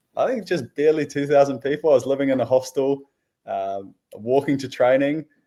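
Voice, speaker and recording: In a New Zealand accent, the speaker moves at a fairly quick pace with ordinary pitch variation. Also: man, fairly high pitch for a man. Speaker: professional footballer. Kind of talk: interview. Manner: casual, with many fillers.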